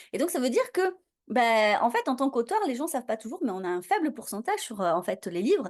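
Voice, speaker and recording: Against a quiet background, a woman talks very fast in an animated tone, her high pitch making very wide swings. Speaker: podcast host. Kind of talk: podcast interview.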